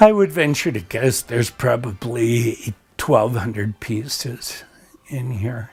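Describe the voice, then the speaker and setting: A man talks at a very slow pace with an American accent. His voice is somewhat breathy, at a medium pitch with ordinary pitch variation. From Montana, US. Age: 70s. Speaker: retired art collector. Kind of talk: documentary interview.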